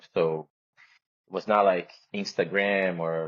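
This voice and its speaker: This man has a very deep, low-pitched voice. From Brazil. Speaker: photographer. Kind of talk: interview conversation. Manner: soft-spoken; hesitant.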